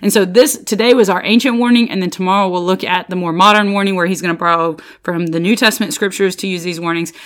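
A woman talks at a very fast pace with hardly any pauses and an animated tone. Her voice sits at medium pitch with ordinary pitch variation. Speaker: bible study podcast host. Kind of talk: devotional bible teaching. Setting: solo home recording. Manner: loud.

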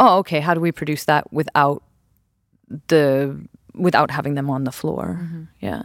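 A woman's very deep, low-pitched voice in an American accent, moderate in pace with long, frequent pauses. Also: ordinary pitch variation. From US West Coast. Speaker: choreographer. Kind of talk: casual chat. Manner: hesitant, many fillers.

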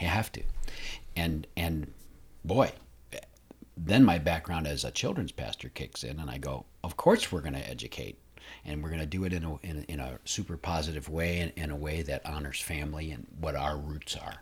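Speaking at a moderate pace in an American accent, a man with a very deep, low voice and vocal fry shows ordinary pitch variation and big swings in loudness, on a very clean recording with a silent background. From northern US. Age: old. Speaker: community theater director, former children's pastor. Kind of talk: interview.

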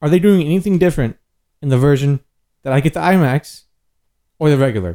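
A man talks fairly quickly in a fairly high yet dark, mellow voice with ordinary pitch variation, the sound dry and close with no echo. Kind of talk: heated argument. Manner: irritated, clipped, interrupting, defensive.

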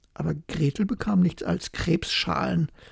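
A woman talks at a fairly slow pace, and the sound is dry and close with no echo. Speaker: bedtime story narrator. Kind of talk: bedtime story telling, calm fairy-tale reading aloud. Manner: slow, soft, soothing.

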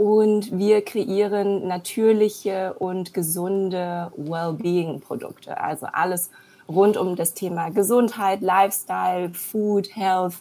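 A woman's medium-pitched, dark, mellow voice at a very slow pace, with fairly even intonation. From Germany, born in China. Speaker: entrepreneur, serial founder. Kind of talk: interview. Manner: many filler sounds.

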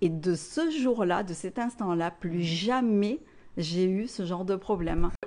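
Speaking at a very slow pace, a woman uses lively intonation, a medium pitch and a dark, mellow tone. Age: 20s. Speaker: therapist. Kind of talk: casual interview testimony.

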